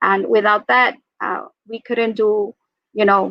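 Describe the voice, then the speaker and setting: With a Spanish accent, a woman speaks at a very slow pace in a fairly high pitch with monotone, flat intonation. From Mexico. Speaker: school librarian. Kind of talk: panel discussion.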